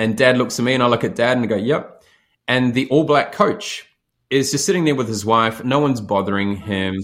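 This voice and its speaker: With a New Zealand accent, a man speaks at a medium pitch and a fairly quick pace. His intonation is lively. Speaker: leadership expert and speaker. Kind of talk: podcast interview.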